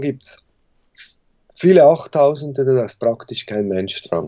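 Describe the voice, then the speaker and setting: Lively intonation marks a normal speaking voice that moves at a moderate speed. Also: man. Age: 40s. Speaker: mountain guide and expedition business owner. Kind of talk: interview.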